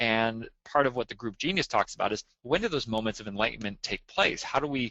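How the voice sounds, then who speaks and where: A man at a medium pitch and a fairly quick pace, with ordinary pitch variation. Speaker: webinar presenter on agile and collaboration. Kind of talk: webinar Q&A answer. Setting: online webinar. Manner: loud; halting, many repetitions.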